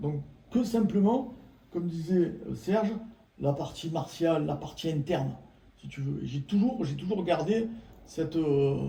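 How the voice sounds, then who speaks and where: A man speaks in a high pitch at a fairly slow pace, with long, frequent pauses. The room echo is audible, and there is noticeable background noise. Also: lively intonation. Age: 60s. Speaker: former martial arts practitioner. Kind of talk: casual chat.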